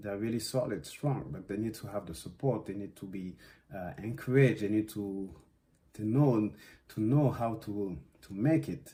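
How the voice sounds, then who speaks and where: A man's somewhat breathy voice has a dark, mellow tone, lively intonation and big swings in loudness. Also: fairly low pitch for a man, moderate pace. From West Africa (Guinea, Senegal) and Belgium. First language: Susu / French. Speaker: dance artist. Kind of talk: interview monologue. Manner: halting, many fillers.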